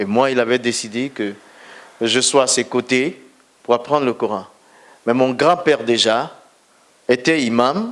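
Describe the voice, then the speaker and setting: Fairly slow speech from a man, medium in pitch and with ordinary pitch variation. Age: 60s. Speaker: pastor. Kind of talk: testimony.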